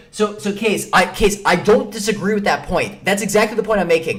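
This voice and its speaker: Music plays in the background as a man speaks. His tone is animated and his pace fairly quick. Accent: American. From Chicago, Illinois. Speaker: chess streamer. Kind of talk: live stream commentary. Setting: live stream. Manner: fast, with many repetitions and fillers.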